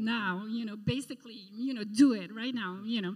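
A woman with a French accent speaks at a moderate pace and a fairly high pitch, her nervous tone somewhat breathy, with ordinary pitch variation. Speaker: art curator. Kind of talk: testimony. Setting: church.

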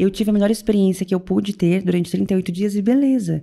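At a fairly quick pace, a woman speaks at a medium pitch with a dark, mellow tone. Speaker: weight-loss coach. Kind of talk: casual chat. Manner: talkative.

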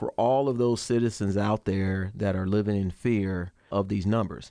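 A plain, everyday voice with an American accent and ordinary pitch variation, dry and close with no echo, on a very clean recording with a silent background. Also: man. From Chicago, South Side. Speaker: senior federal law enforcement official. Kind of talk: interview.

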